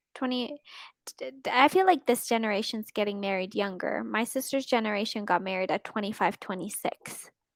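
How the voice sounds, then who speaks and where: Fairly high-pitched woman in a Canadian accent, on a very clean recording with a silent background. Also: ordinary pitch variation. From Canada. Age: 20s. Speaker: online English tutor. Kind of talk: casual chat. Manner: slow; clearly enunciated.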